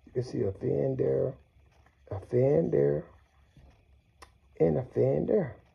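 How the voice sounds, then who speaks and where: At a very slow pace, a man talks in a very deep, low voice with vocal fry. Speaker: product reviewer. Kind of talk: casual unboxing commentary. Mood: enthusiastic. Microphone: phone near.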